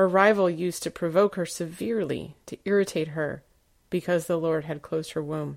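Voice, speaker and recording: A woman with a plain, everyday voice, fairly low in pitch, at a moderate pace on a very clean recording with a silent background. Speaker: scripture reader. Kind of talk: reading aloud.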